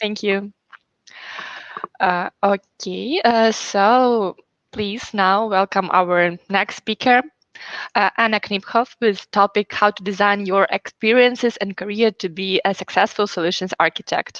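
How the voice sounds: A woman speaks at a fairly slow pace and medium pitch, her fairly bright tone moving with ordinary pitch variation in a dry, close sound with no echo.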